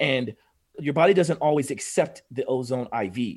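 A plain, everyday voice of a man, at a moderate pace with ordinary pitch variation. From Oklahoma. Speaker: biohacker and fitness expert. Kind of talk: casual interview chat. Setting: video call.

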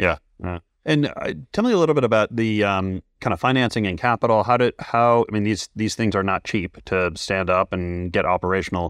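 A man with an unremarkable speaking voice, fairly low in pitch, with ordinary pitch variation and a fairly quick pace. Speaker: podcast host and business coach. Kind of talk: casual interview chat. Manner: conversational, fillers like kinda.

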